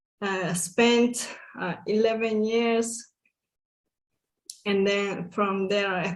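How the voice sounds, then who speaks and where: A woman speaks at a very slow pace with a Hungarian accent. Her intonation is fairly even. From Hungary, small village. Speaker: summit guest speaker. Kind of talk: interview.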